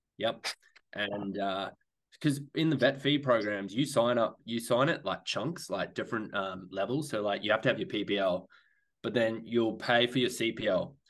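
A man with an Australian accent, medium pitch, ordinary pitch variation and a fairly slow pace. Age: 30s. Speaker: airline pilot. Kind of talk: casual chat.

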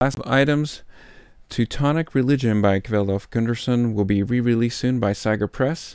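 Against a quiet background, an ordinary speaking voice moves at a moderate pace with ordinary pitch variation and very even loudness. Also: man, medium pitch for a man. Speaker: podcast host and interviewer. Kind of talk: casual interview. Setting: on-site interviews at conference.

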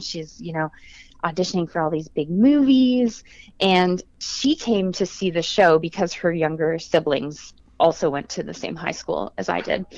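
With lively intonation and a fairly low pitch, a woman speaks at a moderate pace in a normal speaking voice. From Quebec, Canada (south of Montreal). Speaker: actress. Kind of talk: interview.

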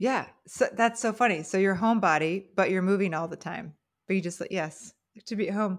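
A woman with an American accent talks in a normal speaking voice at medium pitch and a moderate pace, with ordinary pitch variation. The recording is very clean, with a silent background. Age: 40s. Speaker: podcast host. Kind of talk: casual interview.

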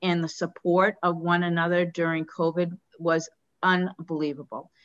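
With an American accent, a woman speaks at a fairly slow pace in a fairly low pitch, a plain, everyday voice. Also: quiet background. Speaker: podcast host and dentist. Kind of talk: interview.

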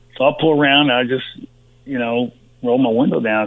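A man with a Texan accent at a moderate pace. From Texas (Uvalde). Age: 60s. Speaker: former pro football player. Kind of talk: interview. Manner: halting, many fillers.

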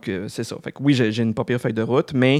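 A man speaks in an ordinary speaking voice at medium pitch, with fairly even intonation. The recording is very clean, with a silent background. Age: 40s. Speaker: podcast host. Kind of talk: casual interview.

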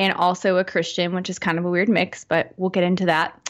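A woman's medium-pitched voice with a Southern US accent comes through on a very clean recording with a silent background. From Arkansas, Fort Smith area. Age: 30s. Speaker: horror podcaster. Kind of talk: casual chat.

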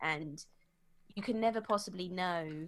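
A woman with an English accent, medium in pitch, at a moderate pace and with ordinary pitch variation. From England. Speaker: psychologist and cult survivor. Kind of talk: interview. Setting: video call.

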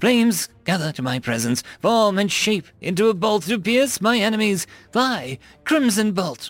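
This is a put-on character voice with a fairly bright tone. It moves at a fairly slow pace, with big swings in pitch. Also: man, high pitch for a man.

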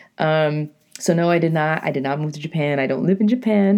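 A woman with a New England accent, fairly low pitch, ordinary pitch variation and a fairly quick pace. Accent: New England American. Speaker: podcaster and poet. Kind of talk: casual monologue. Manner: animated.

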